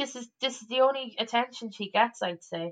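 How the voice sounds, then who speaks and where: A fairly slow delivery in an Irish accent with ordinary pitch variation. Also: woman. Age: 30s. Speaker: comedian. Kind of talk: casual chat. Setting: remote call over the internet.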